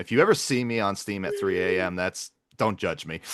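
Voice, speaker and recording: A loud man's voice, bright and sharp in tone, at a fairly quick pace, dry and close with no echo, over a quiet background. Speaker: podcast host and gamer. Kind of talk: casual chat.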